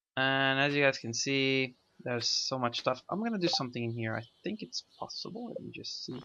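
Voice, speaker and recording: A man with a non-native accent and a bright, sharp tone. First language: not English. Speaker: gaming video creator. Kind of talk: let's play commentary. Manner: halting, many fillers.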